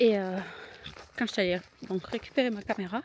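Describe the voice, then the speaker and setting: A woman speaks fairly quickly at medium pitch, keeping her intonation fairly even. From southern France. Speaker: vlogger. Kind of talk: casual vlog narration. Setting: outdoors.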